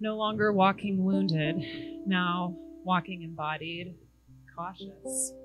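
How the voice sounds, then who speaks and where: With music in the background, a woman speaks at medium pitch at a very slow pace, her intonation fairly even. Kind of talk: spoken word poetry.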